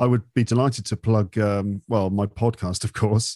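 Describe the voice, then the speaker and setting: A dark, mellow voice with a British accent holds a fairly even intonation. The recording is very clean, with a silent background and a dry, close sound with no echo. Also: man. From England. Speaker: English-teaching podcaster. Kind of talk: casual interview.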